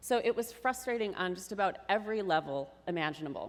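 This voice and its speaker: In a very clean recording with a silent background, a woman with an American accent speaks with lively intonation. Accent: Minnesota accent, usually kept in check. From Minnesota (Mankato). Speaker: tech marketer, conference speaker. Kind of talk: conference talk. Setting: stage with audience. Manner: casual, animated.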